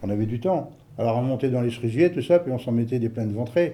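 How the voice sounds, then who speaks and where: A man speaks at a medium pitch. His tone is dark and mellow, and somewhat breathy. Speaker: elderly villager interviewed. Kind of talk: interview reminiscence. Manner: hesitant, colloquial.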